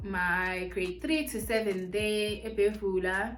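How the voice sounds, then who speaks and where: Music playing behind a woman's voice, plus noticeable echo from the room. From South Africa, Mpumalanga and Pretoria. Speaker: beauty and lifestyle YouTuber. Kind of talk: casual Q&A vlog, mukbang.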